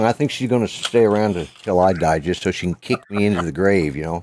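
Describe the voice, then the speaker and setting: With an American accent, a man speaks at a fairly quick pace and fairly low pitch in a plain, everyday voice, the sound dry and close with no echo and the recording very clean against a silent background. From Colorado. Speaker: vlogger. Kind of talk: casual chat.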